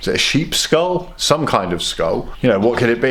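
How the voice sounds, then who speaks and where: With a British accent, a man speaks at a moderate pace in lively intonation amid noticeable background noise. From UK. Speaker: fitness vlogger. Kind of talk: casual vlog.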